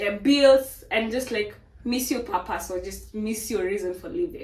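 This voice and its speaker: A woman talks with a high pitch. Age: 20s. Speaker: fitness trainer and vlogger. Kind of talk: casual motivational monologue.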